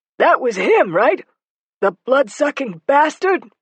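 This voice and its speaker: A put-on character voice, high and raspy, moves at a fairly slow pace through very wide pitch swings. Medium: read story. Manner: deadpan.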